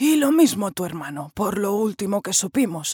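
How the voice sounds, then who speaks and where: Recorded very cleanly with a silent background and a dry, close sound with no echo, a woman of medium pitch speaks at a fairly slow pace in an animated tone with very wide pitch swings. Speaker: voice actress narrator. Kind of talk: dramatic narration of a historical novel, with character voices in dialogue. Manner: expressive, animated storyteller who shifts between narrator and characters.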